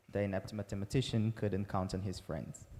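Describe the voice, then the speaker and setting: A man speaks with a Portuguese accent. His voice has a dark, mellow tone and a fairly low pitch. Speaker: researcher presenting a paper. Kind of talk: conference talk. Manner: halting, many fillers.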